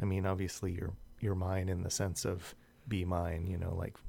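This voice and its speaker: The man's voice is very deep and low in pitch. It sounds somewhat breathy. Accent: Californian. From US West Coast, South San Jose, California. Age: 40s. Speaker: podcast co-host. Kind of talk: casual chat.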